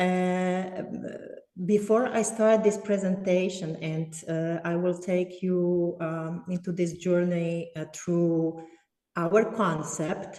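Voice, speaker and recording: A woman's fairly low voice, fairly even in intonation, at a very slow pace. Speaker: art therapist. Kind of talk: online presentation. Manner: slow, deliberate; hesitant, many fillers.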